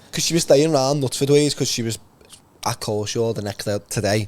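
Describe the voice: A man speaks at a fairly quick pace, his voice at medium pitch with ordinary pitch variation.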